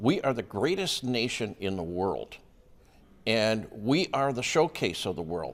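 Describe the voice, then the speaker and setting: Pitched at a medium level, a man's voice moves at a fairly slow pace through very wide pitch swings. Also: very clean recording, silent background. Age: 70s. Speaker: local politician. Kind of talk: news interview.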